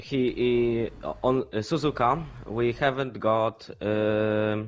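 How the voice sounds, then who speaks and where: At a very slow pace, a man with a Polish accent speaks at a medium pitch with fairly even intonation. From Poland. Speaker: sim racing driver. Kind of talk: post-race interview. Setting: live stream. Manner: halting, many fillers.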